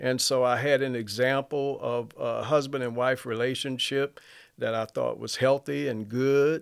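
In a very clean recording with a silent background, a man with an Alabama accent speaks at a fairly slow pace. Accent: Southern US (Alabama). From US South, Mobile, Alabama. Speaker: church member. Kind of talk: testimony.

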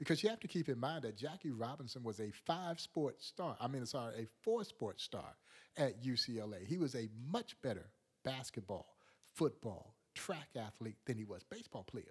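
A man talks at a moderate pace with a medium pitch. His voice is somewhat breathy and his pitch swings very widely. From US South, rural Georgia. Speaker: museum president. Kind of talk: interview, storytelling. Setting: studio.

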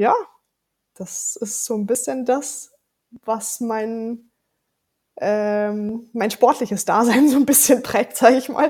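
A woman is speaking. Her pitch is fairly high. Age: 30s. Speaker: event organizer. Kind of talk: casual chat. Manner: animated.

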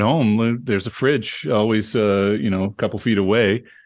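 With an unremarkable speaking voice, a man talks at a fairly low pitch and moderate pace, his intonation fairly even. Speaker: professor. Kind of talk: casual chat.

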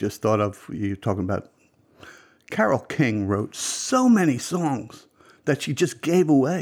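A man at a fairly slow pace with lively intonation, in a very clean recording with a silent background. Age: 60s. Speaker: music enthusiast guest. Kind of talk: casual chat.

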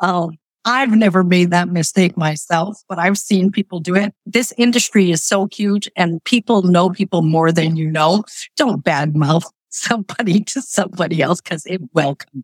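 With a dry, close sound and no echo, a woman speaks fairly low at a moderate pace with ordinary pitch variation. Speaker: business owner. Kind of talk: interview. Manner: animated.

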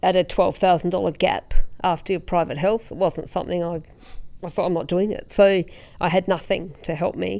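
A woman's voice in an Australian accent, at a moderate pace with fairly even intonation. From South Australia, rural Tatiara district. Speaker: road safety organisation CEO. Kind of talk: interview conversation. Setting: studio, quiet room.

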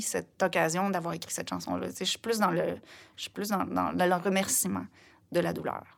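A woman's voice with vocal fry, on a very clean recording with a silent background. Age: 50s. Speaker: singer-songwriter. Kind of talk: interview conversation. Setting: studio.

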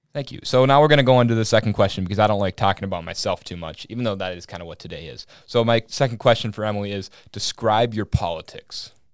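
Speaking very fast with an American accent, this voice shows big swings in loudness and ordinary pitch variation on a very clean recording with a silent background. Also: man, fairly low pitch for a man. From Minnesota, small town. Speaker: podcast host, college student. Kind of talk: casual political discussion; opinion monologue.

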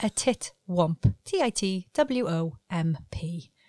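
Her pitch swinging very widely, a woman with a British accent speaks in a dark, mellow tone, recorded dry and close with no echo. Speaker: podcast co-host. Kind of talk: casual chat.

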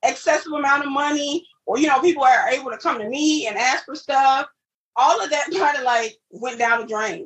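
A woman with an American accent speaks at a moderate pace in a high voice. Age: 40s. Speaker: education counselor and author. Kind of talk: personal testimony in interview.

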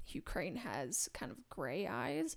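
This is a very clean recording with a silent background. The speaker is a woman. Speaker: podcast host. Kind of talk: casual banter, TV show discussion.

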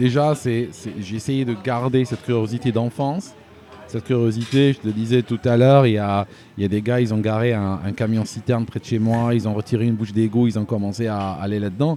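A man of medium pitch talks at a moderate pace with ordinary pitch variation as noticeable background noise carries on behind him. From Algeria. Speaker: YouTube news commentator. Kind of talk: casual interview. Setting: in person, Paris. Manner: halting, many repetitions.

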